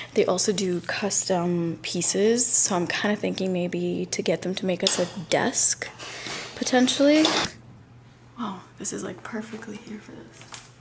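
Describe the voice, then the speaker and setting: A woman's quiet whispering at a fairly slow pace, with big swings in loudness over noticeable background noise. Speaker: vlogger and podcaster. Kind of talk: casual vlog narration. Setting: outdoors in Brooklyn, then a storage unit. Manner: whispering in a quiet storage unit.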